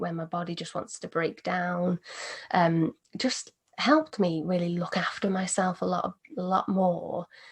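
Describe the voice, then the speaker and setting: At a moderate pace, a woman with medium pitch speaks in a calm tone, somewhat breathy. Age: 20s. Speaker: meditation teacher. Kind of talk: interview.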